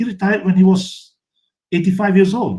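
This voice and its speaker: A man speaks at a high pitch. His pace is fairly quick. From Malaysia. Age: 70s. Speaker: photographer. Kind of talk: interview conversation.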